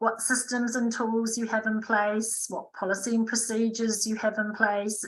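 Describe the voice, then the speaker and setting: Her intonation flat and monotone, a woman speaks at a moderate pace in a fairly high pitch. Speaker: recruitment and HR advisor. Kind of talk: webinar presentation.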